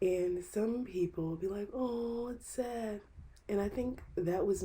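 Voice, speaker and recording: Speaking at a fairly slow pace, a woman has a somewhat breathy, dark and mellow tone with ordinary pitch variation. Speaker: podcaster. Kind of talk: personal vlog monologue. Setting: bedroom corner. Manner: casual, conversational.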